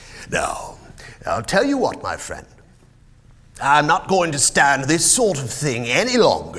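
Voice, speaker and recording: A man's put-on character voice, gruff and growling, high-pitched with very wide pitch swings, fairly slow with long, frequent pauses. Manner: gruff, scolding.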